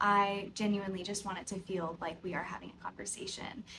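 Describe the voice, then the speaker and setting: A woman's unremarkable speaking voice, medium in pitch, with fairly even intonation and an American accent. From US South, Tennessee (near Nashville). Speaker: podcast host, yoga teacher. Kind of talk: casual unscripted chat to camera. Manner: conversational, filler-heavy.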